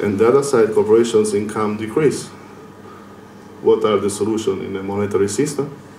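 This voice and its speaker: A man with an Italian accent and a fairly low pitch, fairly even intonation and long, frequent pauses, amid noticeable background noise and audible room echo. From Italy. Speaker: lecturer. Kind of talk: lecture. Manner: hesitant with fillers.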